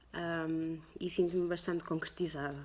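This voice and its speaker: A fairly low-pitched female voice, recorded very cleanly against a silent background. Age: 30s. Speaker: tattoo artist. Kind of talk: personal interview testimony. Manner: halting, many fillers.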